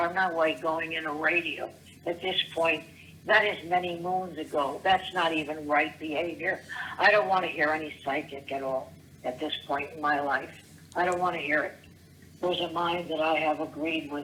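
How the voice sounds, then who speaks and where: Noticeable background noise sits behind a woman with a fairly low pitch. She talks at a moderate pace with fairly even intonation. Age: 70s. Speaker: voicemail caller. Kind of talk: voicemail rant. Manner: rambling, halting.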